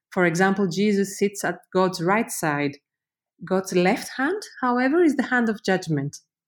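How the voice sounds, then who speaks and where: A woman at medium pitch with a Greek accent, lively intonation, very even loudness, and a fairly slow pace, in a very clean recording with a silent background. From Greece. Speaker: university professor, researcher. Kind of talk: interview, explanatory. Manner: hesitant, many fillers.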